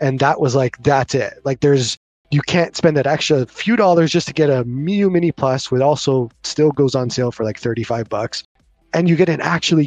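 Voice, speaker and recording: With music playing in the background, a man with a Canadian accent speaks at a fairly high pitch. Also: dry, close sound with no echo. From Canada. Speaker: YouTuber, handheld reviewer. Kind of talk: casual chat. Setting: video call.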